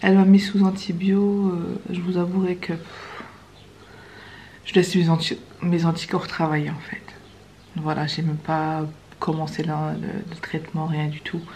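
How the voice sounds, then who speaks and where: A soft-spoken woman with a fairly low pitch talks in a monotone, flat intonation. Her pace is fairly slow, broken by long, frequent pauses. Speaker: vlogger. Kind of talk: casual vlog talk to camera. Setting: in a car.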